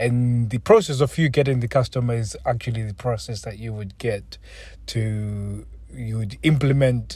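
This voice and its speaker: A man speaks at medium pitch and a moderate pace, somewhat breathy, with ordinary pitch variation. The recording is very clean, with a silent background. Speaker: podcast host. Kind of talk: tutorial.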